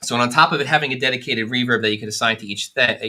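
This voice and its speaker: This man talks at a very fast pace. His pitch is medium, and he has an American accent. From New York. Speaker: product specialist demonstrating synths. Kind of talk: live stream tutorial. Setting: studio.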